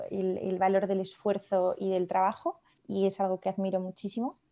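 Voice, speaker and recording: This woman talks at a fairly slow pace in a medium pitch, her tone dark and mellow. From Spain, León. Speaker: pharmacist and skincare brand founder. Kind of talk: casual interview.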